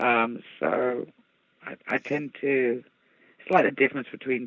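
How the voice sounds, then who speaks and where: The delivery is very slow, broken by long, frequent pauses. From English Midlands (Birmingham). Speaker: guest. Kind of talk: casual chat.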